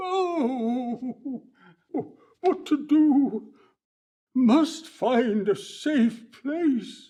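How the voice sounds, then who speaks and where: A high-pitched, put-on character voice drags along at a very slow pace with long, frequent pauses. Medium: audio drama. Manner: fretful, complaining.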